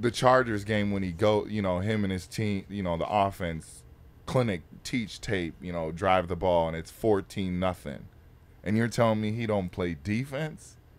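Moderately paced, a man speaks with ordinary pitch variation. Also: fairly low pitch for a man. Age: 20s. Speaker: pro football player. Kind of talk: casual chat. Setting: studio on a bus. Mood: animated, arguing a point. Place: studio. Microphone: studio mic.

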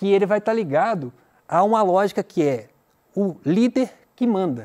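A man speaks with a high pitch and a dark, mellow tone. His pitch swings very widely. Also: quiet background. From Brazil. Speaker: teacher. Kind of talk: lecture. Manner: conversational, many filler 'né?'. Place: studio.

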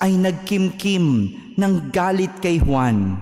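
At a very slow pace, a man speaks with a high pitch. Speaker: priest. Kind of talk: homily. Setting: church. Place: church. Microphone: podium.

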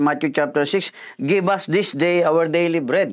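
Over a quiet background, a man speaks with a high pitch. His pitch variation is ordinary. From Philippines. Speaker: pastor. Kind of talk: sermon, devotional Bible teaching with prayer. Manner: earnest, polite, measured preacher's delivery with frequent fillers. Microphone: lapel.

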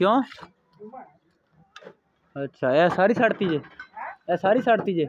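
Slowly and with lively intonation, a man speaks at a high pitch.

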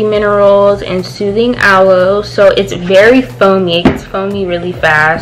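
A woman talks fairly slowly while noticeable background noise fills the recording. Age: young. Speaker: beauty and lifestyle vlogger; beauty vlogger. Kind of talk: casual product review vlog. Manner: animated. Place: home room. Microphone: phone near.

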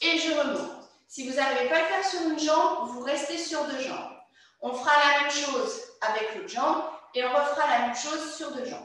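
With strong room echo over a quiet background, a woman speaks at a high pitch and a fairly quick pace, with ordinary pitch variation. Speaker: fitness instructor. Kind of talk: exercise class instruction. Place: empty room. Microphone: camera far.

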